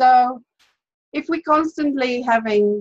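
A woman talks at a very slow pace in a somewhat breathy voice. The sound is dry and close, with no echo. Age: 30s. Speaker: health and diet coach. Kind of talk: webinar presentation. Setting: video call. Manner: casual, many filler words.

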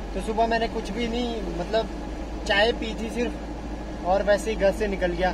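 Against noticeable background noise, a man speaks at a fairly slow pace in a dry sound with no echo. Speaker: truck driver vlogger. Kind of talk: casual vlog chat. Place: car. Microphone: phone near.

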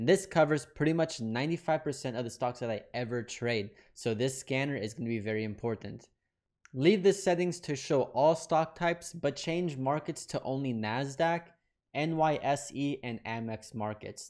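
A man talks at a fairly slow pace with ordinary pitch variation, and the background is quiet. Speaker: trading educator. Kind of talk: tutorial. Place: home room. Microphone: studio mic.

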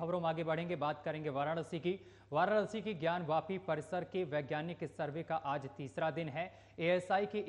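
A man's fairly even intonation at a fairly slow pace. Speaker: news anchor. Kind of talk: news reading. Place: studio. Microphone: lapel.

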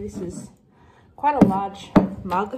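Loud background noise surrounds a woman speaking at a fairly slow pace. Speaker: vlogger. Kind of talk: casual vlog chat. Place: kitchen. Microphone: phone near.

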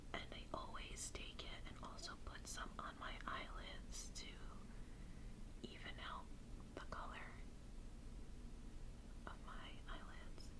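The woman talks very slowly while loud noise fills the background. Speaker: ASMR creator. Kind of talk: ASMR makeup get-ready-with-me talk. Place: home room. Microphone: phone near.

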